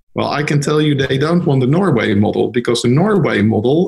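This man's voice carries vocal fry and ordinary pitch variation. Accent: Dutch. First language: Dutch. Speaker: lawyer. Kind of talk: interview.

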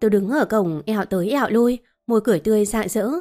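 Ordinary pitch variation in a natural reading voice, the background quiet.

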